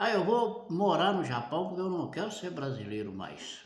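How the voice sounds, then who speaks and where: In a Brazilian accent, a man speaks at a fairly slow pace with a high pitch and very wide pitch swings. Audible room echo surrounds his voice. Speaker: preacher. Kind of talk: sermon.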